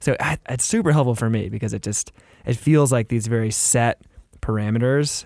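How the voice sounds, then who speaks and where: An ordinary speaking voice from a man, medium in pitch and moderate in pace, with ordinary pitch variation. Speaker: podcast host. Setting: podcast studio.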